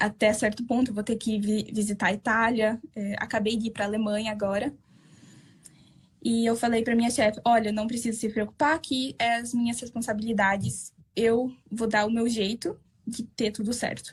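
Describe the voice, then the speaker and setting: Somewhat breathy and monotone, a woman talks at a moderate pace with a fairly high pitch. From southern Brazil. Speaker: Brazilian expat worker interviewed. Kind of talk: interview. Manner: halting.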